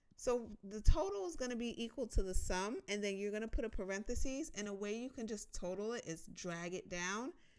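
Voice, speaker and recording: Woman with an American accent and a plain, everyday voice, medium-pitched with ordinary pitch variation at a moderate pace. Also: big swings in loudness. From United States. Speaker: personal finance youtuber. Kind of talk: tutorial. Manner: casual, conversational.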